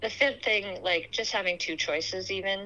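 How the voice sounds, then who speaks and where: A woman speaks with a Canadian accent. Her tone is bright and sharp. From Canada. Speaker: outdoor clothing business owner. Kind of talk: interview.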